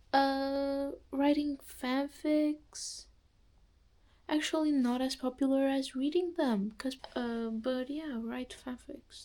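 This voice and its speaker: A woman's high-pitched voice in a dark, mellow tone with a non-native accent, ordinary pitch variation and big swings in loudness. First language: not English. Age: young. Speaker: student vlogger. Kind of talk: casual vlog monologue. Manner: halting, many fillers and restarts.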